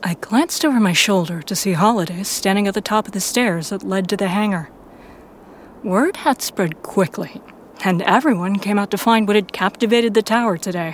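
Fairly quick pace with ordinary pitch variation. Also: woman, medium pitch for a woman. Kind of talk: fiction audiobook narration, first-person Guardian narrator. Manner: measured storyteller pacing, dramatic and tense.

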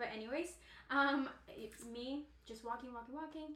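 A high-pitched woman's voice with ordinary pitch variation, at a moderate pace, with audible room echo. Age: 20s. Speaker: school teacher and mother. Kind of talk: casual chat.

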